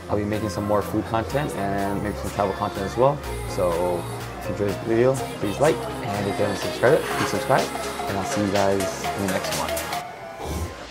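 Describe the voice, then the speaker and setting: Over loud music in the background, a man talks at a moderate pace. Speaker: food vlogger. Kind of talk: casual vlog chat. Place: bar. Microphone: lapel.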